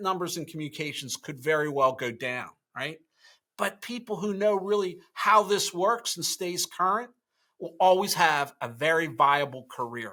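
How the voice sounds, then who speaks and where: A man's high-pitched, animated voice with a bright, sharp tone, lively intonation and a moderate pace. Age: 60s. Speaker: PR agency CEO. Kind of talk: interview.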